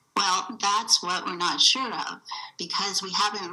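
A woman with an American accent, with noticeable background noise. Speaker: landowner. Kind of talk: testimony.

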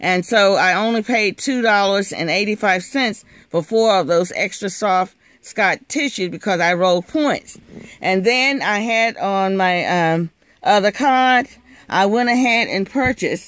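Very slow speech in a dry room with no echo. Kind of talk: casual haul vlog narration. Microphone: phone near.

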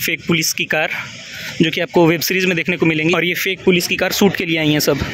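The delivery comes at a moderate pace in a monotone, flat intonation. The sound is dry with no echo, over light background noise. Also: man. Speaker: student vlogger. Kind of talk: casual vlog chat.

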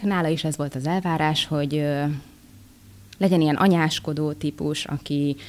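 Her pitch very deep and low, a woman speaks at a moderate pace with ordinary pitch variation. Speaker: voice actress. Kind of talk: interview. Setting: convention. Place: hall. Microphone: studio mic.

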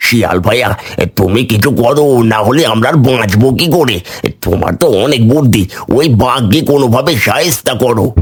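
A man puts on a cartoonish character voice at a medium pitch. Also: moderate pace. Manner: excitable, fast.

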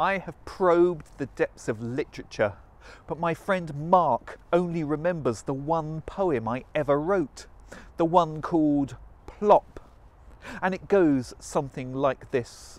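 The recording is dry with no echo as a man speaks at a very slow pace with ordinary pitch variation. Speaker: spoken word poet. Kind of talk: performance poetry. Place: waterside. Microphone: lapel.

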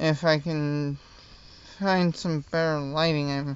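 With monotone, flat intonation, a man talks at a fairly high pitch in a dry sound with no echo and light background noise. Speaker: hobbyist model designer. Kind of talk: casual talk to camera. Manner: stuttering, hesitant. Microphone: phone near.

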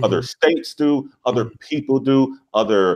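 A man speaks with an American accent and lively intonation. The background is quiet. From US South. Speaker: leadership coach and business founder; interview guest, speaker. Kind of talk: interview. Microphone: lapel.

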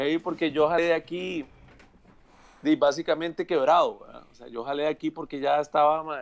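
A man's fairly high voice at a moderate pace, with ordinary pitch variation and big swings in loudness. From Costa Rica, Purral de Guadalupe; Costa Rica. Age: 40s. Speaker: music producer and arranger; guest. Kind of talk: casual video interview. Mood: relaxed, chatty. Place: home room. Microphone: earbuds.

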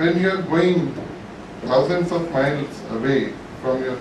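The speech comes at a fairly slow pace, with audible room echo and noticeable background noise. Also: man. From India. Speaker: lawyer. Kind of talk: symposium speech. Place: hall.

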